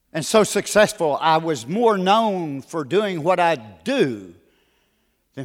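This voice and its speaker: On a very clean recording with a silent background, a man speaks with an American accent at a fairly slow pace. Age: 60s. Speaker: guest preacher. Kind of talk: sermon. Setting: church.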